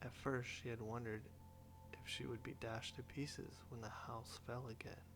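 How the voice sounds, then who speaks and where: Over music in the background, a soft-spoken man talks at a moderate pace. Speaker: audiobook narrator. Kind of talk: sleep story.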